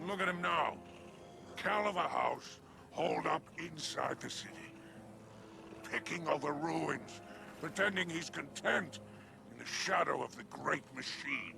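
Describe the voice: A man's put-on character voice, fairly high in pitch with vocal fry and a bright, sharp tone, at a fairly slow pace with ordinary pitch variation and long, frequent pauses, faint music in the background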